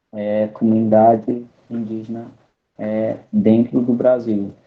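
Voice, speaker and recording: Monotone, flat intonation marks this man's speech, delivered with a non-native accent. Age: 20s. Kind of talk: online presentation. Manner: halting.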